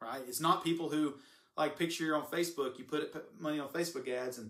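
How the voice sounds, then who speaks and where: Speaking at a very fast pace, a man with an American accent has a fairly high pitch. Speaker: marketing consultant. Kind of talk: live stream talk to viewers. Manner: animated.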